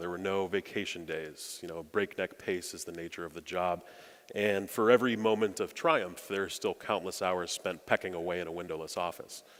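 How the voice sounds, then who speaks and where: A man with an American accent talks in a normal speaking voice at a fairly low pitch and a fairly quick pace, with ordinary pitch variation. The recording is very clean, with a silent background. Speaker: speechwriter. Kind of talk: keynote speech. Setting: stage with audience.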